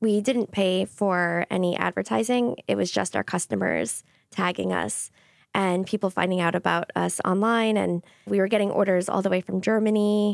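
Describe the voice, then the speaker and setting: A woman with a medium pitch speaks in a plain, everyday voice with an American accent, at a moderate pace with ordinary pitch variation. Her loudness stays very even, and the sound is dry and close with no echo. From Long Island, New York. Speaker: nurse and bakery co-owner. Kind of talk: casual interview. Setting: studio.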